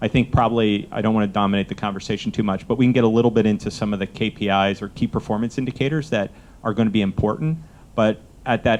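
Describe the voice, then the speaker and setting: At a very fast pace, a man talks in a fairly low voice with fairly even intonation. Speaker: venture fund manager. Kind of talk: panel discussion. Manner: asked to speak louder.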